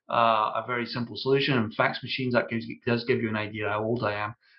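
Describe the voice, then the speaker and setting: The pace is very fast. The speech is in a Scottish accent. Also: man. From Scotland. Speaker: ERP consultant, company founder. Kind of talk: podcast interview. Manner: hesitant, many fillers.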